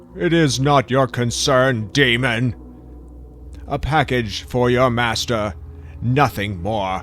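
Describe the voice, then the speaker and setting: A man speaks in a put-on character voice at a fairly slow pace. He leaves long, frequent pauses over clear background noise. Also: medium pitch for a man. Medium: audio drama. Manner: gruff, curt.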